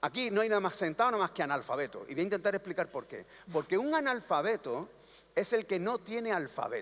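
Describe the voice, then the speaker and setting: Very fast and high-pitched, a man's speech carries lively intonation. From Andalusia. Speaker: panel speaker at cultural congress. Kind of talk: panel talk. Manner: animated, rhetorical.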